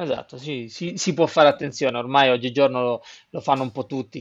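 An ordinary speaking voice at a fairly quick pace. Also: man. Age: 40s. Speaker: snowboard instructor and brand representative. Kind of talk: casual interview.

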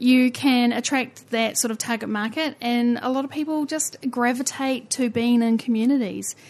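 A woman speaks with a New Zealand accent. Her voice is high-pitched and her pace moderate. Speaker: podcast host. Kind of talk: interview, casual chat.

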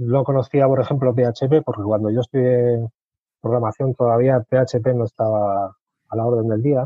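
This is a man with a medium-pitched voice. His intonation is monotone and flat. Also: moderate pace. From Spain, Albacete. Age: 40s. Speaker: aspiring web developer, former hospitality worker. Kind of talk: interview.

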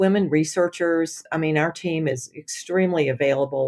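A woman with an American accent and an unremarkable speaking voice, fairly low in pitch, at a moderate pace with ordinary pitch variation, on a very clean recording with a silent background. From US South, Alabama. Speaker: venture capital community engagement lead. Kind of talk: interview conversation.

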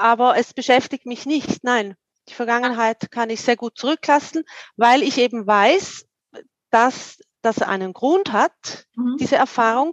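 A woman speaks at a high pitch and a fairly slow pace, with ordinary pitch variation. The sound is dry and close, with no echo. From eastern Switzerland, St. Gallen. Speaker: career coach. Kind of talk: interview conversation.

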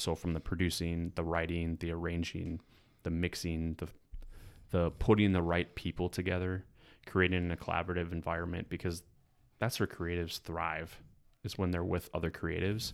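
Monotone, flat intonation at a moderate pace, very clean recording with a silent background. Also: man, very deep, low pitch for a man. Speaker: music producer and entrepreneur. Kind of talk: casual chat.

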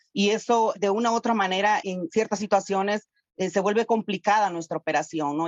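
A woman with a plain, everyday voice speaks at a moderate pace. Her pitch is medium and her intonation fairly even. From Honduras. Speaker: humanitarian worker. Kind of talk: podcast interview.

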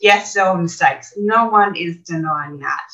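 Someone with an Australian accent speaks at a fairly slow pace. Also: woman. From Australia, Brisbane. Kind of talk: interview.

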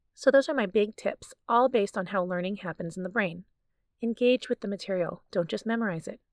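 Against a quiet background, a woman with an unremarkable speaking voice talks at a fairly quick pace and medium pitch, with ordinary pitch variation and a dry, close sound with no echo. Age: 40s. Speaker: family physician and podcast host. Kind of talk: scripted educational monologue.

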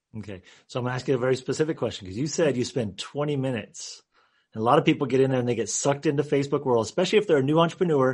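A man's medium-pitched voice at a very fast pace, with ordinary pitch variation and a quiet background. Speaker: podcast host. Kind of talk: interview.

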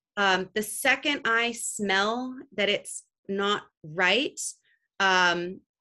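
This woman has a Californian accent, a bright, sharp tone, a medium pitch and ordinary pitch variation. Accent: Californian American. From California, Santa Cruz. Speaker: business leader. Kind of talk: interview. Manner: casual with frequent fillers.

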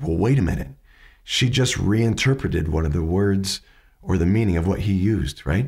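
A man speaks at a fairly low pitch with a dark, mellow tone, somewhat breathy and with lively intonation, on a very clean recording against a silent background. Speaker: podcast host teaching questioning skills. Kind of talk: educational commentary on interview clips. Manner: conversational, with hesitations.

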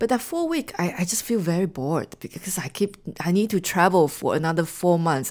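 A woman with a Chinese accent talks at a fairly quick pace with ordinary pitch variation. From Taiwan. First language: Mandarin Chinese. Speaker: marketing executive and author. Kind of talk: interview conversation. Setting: studio.

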